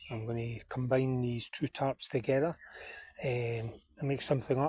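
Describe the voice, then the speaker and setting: Moving at a moderate pace, the speech sounds somewhat breathy. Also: man. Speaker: bushcraft vlogger. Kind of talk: outdoor vlog narration. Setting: outdoors in woods. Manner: whispering.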